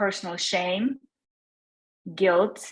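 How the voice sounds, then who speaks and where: A woman's medium-pitched voice with a Russian accent. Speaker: attendee at a discussion group. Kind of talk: personal sharing in group discussion. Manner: halting.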